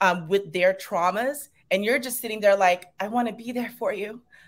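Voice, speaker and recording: A woman speaks with a Long Island accent at a moderate pace. Her pitch is medium, with ordinary variation. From Long Island, New York. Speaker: yoga instructor. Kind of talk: podcast interview.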